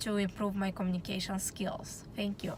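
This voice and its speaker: A woman's medium-pitched voice in a Romanian accent. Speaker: student. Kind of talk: class presentation.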